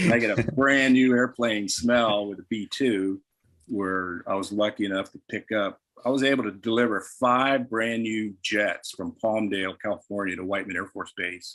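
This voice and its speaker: A man's normal speaking voice at medium pitch, with ordinary pitch variation, a moderate pace, and a very clean recording with a silent background. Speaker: retired military and airline pilot. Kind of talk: casual interview conversation.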